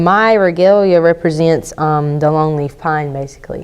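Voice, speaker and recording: A woman with an American accent, fairly low pitch and ordinary pitch variation at a moderate pace, with noticeable background noise. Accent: Lumbee. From Robeson County, North Carolina (Lumbee). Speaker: interviewee, powwow dancer. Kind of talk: interview testimony.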